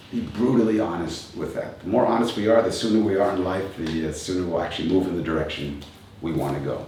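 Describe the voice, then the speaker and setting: Over noticeable background noise and audible room echo, a man with a very deep, low pitch speaks at a very fast pace with ordinary pitch variation. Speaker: kung fu and tai chi teacher. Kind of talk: motivational talk.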